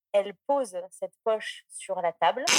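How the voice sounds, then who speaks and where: A woman's fairly high-pitched voice comes across with a dry, close sound with no echo. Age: 20s. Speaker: podcast listener calling in. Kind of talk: anecdote telling on call-in show.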